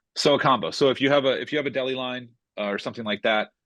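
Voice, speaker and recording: The delivery moves at a very fast pace. The sound is dry with no echo, over a quiet background. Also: man. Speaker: software trainer. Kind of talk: tutorial. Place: home room. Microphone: webcam.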